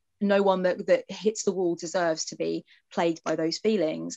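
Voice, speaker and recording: A woman speaks with an English accent and vocal fry. Her pace is moderate. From England. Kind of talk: casual chat. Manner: animated.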